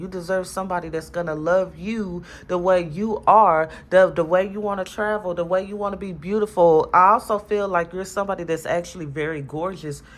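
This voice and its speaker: Fairly quick speech from a woman at medium pitch, with fairly even intonation and hardly any pauses, on a very clean recording with a silent background. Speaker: tarot reader. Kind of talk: tarot reading monologue. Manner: halting.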